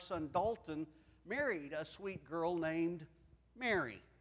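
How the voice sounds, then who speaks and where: A man speaks at a fairly slow pace. His tone is bright and sharp. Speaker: preacher. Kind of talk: sermon. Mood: warm, lightly humorous. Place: church. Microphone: lapel.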